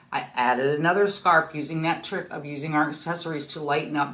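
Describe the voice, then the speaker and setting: A woman delivers her words at a fairly quick pace, with audible room echo around her. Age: 60s. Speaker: fashion vlogger. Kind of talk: casual style tutorial. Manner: casual, chatty with fillers.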